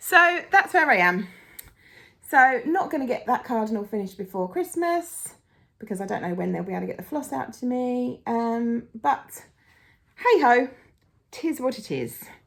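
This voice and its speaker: In an English accent, a woman speaks at a moderate pace with a high pitch, very wide pitch swings and long, frequent pauses. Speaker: cross-stitch vlogger. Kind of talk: casual vlog chat. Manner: animated.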